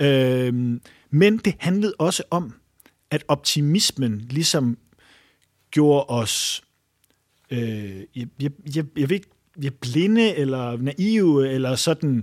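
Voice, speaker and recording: Speaking very slowly with long, frequent pauses, a man uses lively intonation at a fairly high pitch, the sound dry and close with no echo. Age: 30s. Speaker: journalist and author. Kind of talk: interview. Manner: halting.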